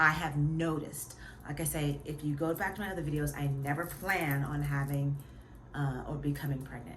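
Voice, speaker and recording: Room echo can be heard, and there is noticeable noise in the background. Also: woman. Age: 40s. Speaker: vlogger. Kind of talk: casual vlog talk. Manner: halting.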